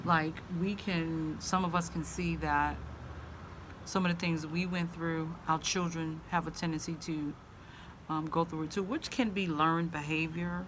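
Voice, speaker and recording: Audible room echo surrounds a woman with an American accent and a fairly low voice, speaking fairly slowly in a monotone, flat intonation. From US South. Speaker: vlogger. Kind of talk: casual vlog monologue. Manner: halting, many fillers.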